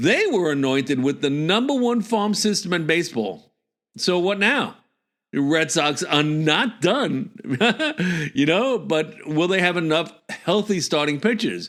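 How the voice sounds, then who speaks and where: Over a silent background in a very clean recording, a man speaks fairly slowly in a high voice. His intonation is lively and his loudness very even. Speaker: baseball podcast host. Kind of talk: casual podcast talk.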